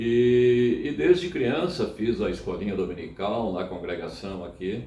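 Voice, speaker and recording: In a room with audible echo, a man speaks at a very slow pace in a medium pitch. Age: 70s. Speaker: church member. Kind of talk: interview. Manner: halting.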